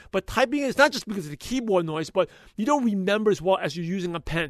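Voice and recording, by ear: A man speaks fast in a passionate tone. His voice is high, with lively intonation.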